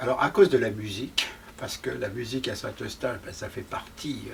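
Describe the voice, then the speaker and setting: A man at a fairly slow pace with very wide pitch swings, amid noticeable background noise. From France, Paris. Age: 70s. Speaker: historian and novelist. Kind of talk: interview conversation.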